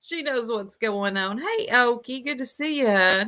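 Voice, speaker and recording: A woman's bright, sharp voice in a Southern US accent, with very wide pitch swings. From US South. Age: 40s. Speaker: YouTube commentary livestreamer. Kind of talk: livestream commentary chat. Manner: slow.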